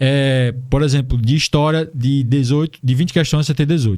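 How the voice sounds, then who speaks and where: A man is speaking. His pace is moderate. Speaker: exam-prep teacher, YouTuber. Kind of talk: online tutorial lesson. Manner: casual, informal.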